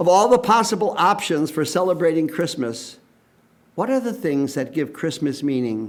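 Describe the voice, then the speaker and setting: Audible room echo surrounds a man speaking at a moderate pace. His fairly high voice moves in very wide pitch swings. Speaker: priest. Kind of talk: sermon.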